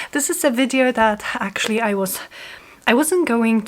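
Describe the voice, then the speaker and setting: A woman's fairly high voice with a Polish accent. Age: 30s. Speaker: junk journal crafter. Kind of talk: casual talk to camera.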